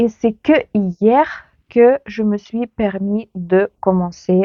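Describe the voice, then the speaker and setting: A Ukrainian accent with ordinary pitch variation. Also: woman. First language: Ukrainian (speaking French). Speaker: knitting youtuber. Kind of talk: casual vlog chat. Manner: hesitant, many fillers.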